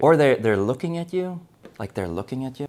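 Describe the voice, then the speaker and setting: On a very clean recording with a silent background, a speaker with a non-native accent moves through very wide pitch swings. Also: man. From South Africa. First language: not English. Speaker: acting coach. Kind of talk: tutorial. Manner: casual, conversational.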